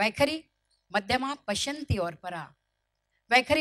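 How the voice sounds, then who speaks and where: A woman's voice in a Marathi accent. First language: Marathi (speaking Hindi). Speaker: motivational speaker. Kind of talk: motivational speech.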